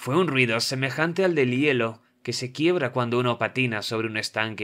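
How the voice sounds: What comes through is a natural reading voice.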